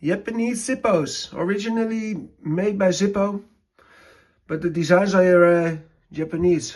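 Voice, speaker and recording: A man with a Dutch accent, high-pitched, at a fairly slow pace. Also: ordinary pitch variation. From Netherlands. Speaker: lighter collector and maker. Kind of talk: collection show-and-tell. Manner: halting, many fillers.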